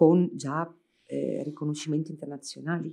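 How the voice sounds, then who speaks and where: The voice has a dark, mellow tone. The background stays quiet. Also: woman. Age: 40s. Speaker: architect; panelist. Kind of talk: public talk in dialogue. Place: hall. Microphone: podium.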